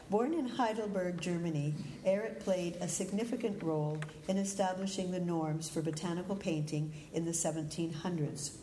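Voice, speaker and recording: With a Canadian accent, a woman speaks at a moderate pace and a fairly low pitch with ordinary pitch variation, amid noticeable background noise and audible room echo. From Calgary, Canada. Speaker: botanical artist. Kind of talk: lecture.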